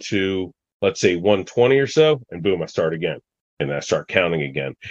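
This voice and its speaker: A man with an American accent uses an ordinary speaking voice at a fairly low pitch, moving at a moderate pace with lively intonation. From US Mid-Atlantic (Washington DC area). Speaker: outdoorsman, hunter and falconer. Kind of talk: casual interview chat.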